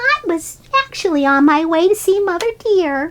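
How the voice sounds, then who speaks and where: Putting on a character voice, a woman speaks at an extremely high pitch. The sound is squeaky, at a moderate pace. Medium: read story. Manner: giggly, bubbly.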